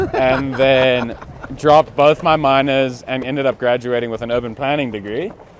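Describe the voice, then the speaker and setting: A man with a slight American accent speaks at a moderate pace and medium pitch with fairly even intonation, over noticeable background noise. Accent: slight American tinge. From South Africa. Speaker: off-road parts business owner and content creator. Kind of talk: casual chat. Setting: outdoors at an expo.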